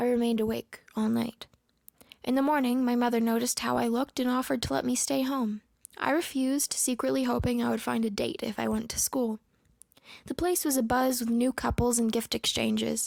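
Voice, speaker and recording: Soft-spoken and very even in loudness, a woman talks at a fairly quick pace in a very clean recording with a silent background and a dry, close sound with no echo. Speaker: story narrator. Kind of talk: horror story reading. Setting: home recording.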